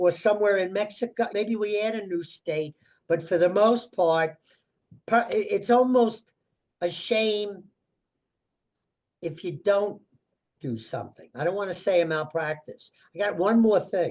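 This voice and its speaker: The speaker goes at a fairly slow pace in an American accent, with long, frequent pauses. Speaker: financial advisor. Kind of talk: casual, conversational.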